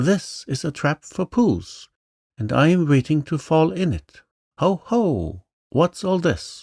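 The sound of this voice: A squeaky, put-on character voice with lively intonation speaks at a fairly slow pace in a very clean recording with a silent background and a dry, close sound with no echo. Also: man, fairly high pitch for a man.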